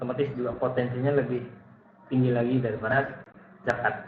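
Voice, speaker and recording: A soft-spoken man at medium pitch and a very fast pace, with audible room echo and noticeable background noise. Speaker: lecturer. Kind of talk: online lecture.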